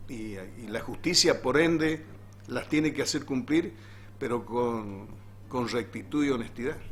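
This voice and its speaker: A man with a plain, everyday voice at a medium pitch talks at a fairly slow pace, with ordinary pitch variation and big swings in loudness. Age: 60s. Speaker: teachers' union leader. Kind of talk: interview.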